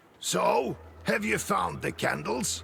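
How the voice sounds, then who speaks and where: A man uses a raspy, put-on character voice. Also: medium pitch for a man. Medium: video game. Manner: measured, instructive.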